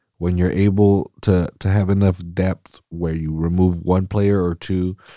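A man with a Californian accent speaks at a very deep, low pitch in a dark, mellow tone, the sound dry and close with no echo on a very clean recording with a silent background. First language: Spanish. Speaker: solo soccer podcast host. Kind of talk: casual chat. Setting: studio. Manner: animated.

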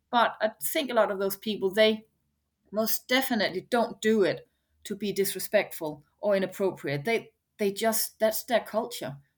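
A woman with a Danish accent speaks in a fairly high pitch with ordinary pitch variation. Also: moderate pace. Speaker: head of food at a bakery chain, chef. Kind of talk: interview.

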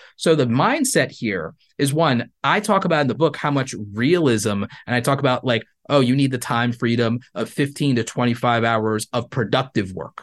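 With a quiet background, a man in a normal speaking voice talks at a moderate pace and medium pitch with ordinary pitch variation. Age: 30s. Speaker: YouTuber and creator economy coach. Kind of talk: interview.

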